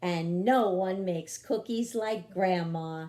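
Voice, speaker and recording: A put-on character voice at a middle pitch. The pace is fairly slow. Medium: read story. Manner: warm, patient.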